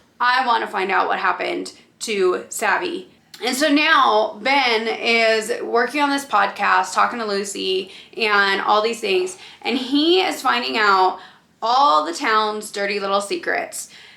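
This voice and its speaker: With noticeable background noise behind her, a woman talks fairly slowly. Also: fairly high pitch for a woman. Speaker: book reviewer. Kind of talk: casual chat.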